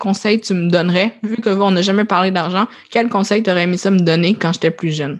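In a Quebec accent, a woman speaks at a medium pitch with ordinary pitch variation against a quiet background. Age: 20s. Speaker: podcast host. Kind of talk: casual chat.

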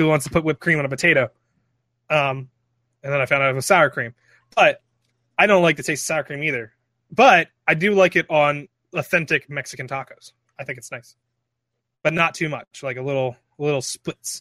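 On a very clean recording with a silent background and a dry, close sound with no echo, a man with a fairly high pitch and a bright, sharp tone talks at a fairly quick pace with long, frequent pauses, ordinary pitch variation and big swings in loudness. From Philadelphia, US. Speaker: gamer guest. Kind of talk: casual chat.

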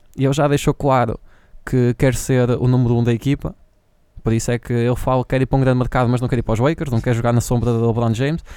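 A man with a European Portuguese accent talks at a very fast pace in a dark, mellow tone at medium pitch, with monotone, flat intonation and very even loudness. The recording is very clean with a silent background and a dry, close sound with no echo. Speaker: podcast co-host. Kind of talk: casual chat.

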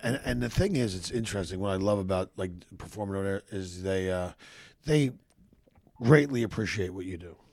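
The speaker moves at a fairly quick pace but breaks it up with long, frequent pauses. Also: man, fairly low pitch for a man, ordinary pitch variation, big swings in loudness. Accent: Philadelphia. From US Northeast, Philadelphia. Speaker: comedian. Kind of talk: casual chat.

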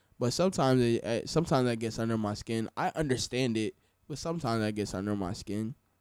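On a very clean recording with a silent background and a dry, close sound with no echo, a man of medium pitch speaks very fast with ordinary pitch variation. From US South, Florida. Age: 20s. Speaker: DJ. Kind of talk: casual chat. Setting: studio.

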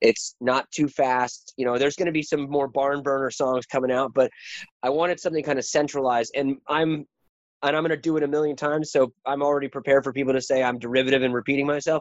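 A man with an American accent, fairly high-pitched and monotone with flat intonation, at a fairly quick pace. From rural northeast Washington State. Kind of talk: interview. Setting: remote call.

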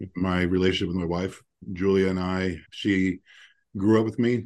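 Against a quiet background, a man's dark, mellow tone sits at a fairly low pitch with fairly even intonation. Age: 50s. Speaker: podcast host, founder of a financial network for attorneys. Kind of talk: casual interview chat. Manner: halting, with many fillers and repetitions.

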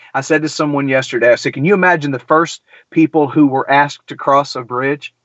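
A fairly high-pitched man at a moderate pace, with ordinary pitch variation. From US South, middle Georgia. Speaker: podcast host and singer-songwriter. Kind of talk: casual interview conversation.

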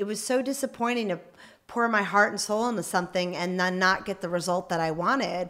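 A woman speaks in a medium pitch with ordinary pitch variation, an unremarkable speaking voice. The recording is very clean, with a silent background. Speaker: Paralympic athlete and amputee. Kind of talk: interview. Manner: frequent fillers (um).

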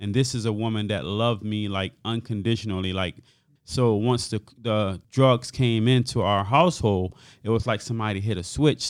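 A man with an American accent and a fairly low pitch talks at a fairly quick pace in a normal speaking voice. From Hartford, Connecticut. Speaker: youth nonprofit founder. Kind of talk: interview testimony.

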